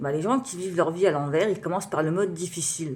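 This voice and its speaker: The woman's voice sits fairly low in pitch. It rises and falls in an ordinary way. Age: 30s. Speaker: writer and beatmaker, vlogger. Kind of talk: personal vlog monologue. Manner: halting, many fillers.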